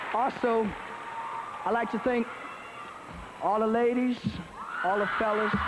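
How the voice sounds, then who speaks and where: Speaking at a fairly slow pace with long, frequent pauses, a man is heard over noticeable background noise. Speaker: singer. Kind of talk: award acceptance speech. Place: stage. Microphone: podium.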